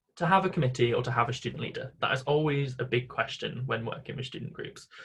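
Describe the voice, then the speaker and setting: Talking at a very fast pace, a man has a somewhat breathy, medium-pitched voice with fairly even intonation. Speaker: volunteer coordinator. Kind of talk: conference presentation.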